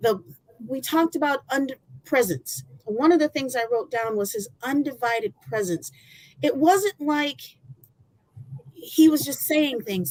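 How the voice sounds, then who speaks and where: Loud and high-pitched, a woman with an American accent talks at a fairly slow pace with very wide pitch swings. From Michigan. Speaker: former college athlete. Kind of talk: testimony.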